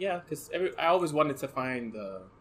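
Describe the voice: Soft-spoken, a man talks at a fairly slow pace in a medium pitch.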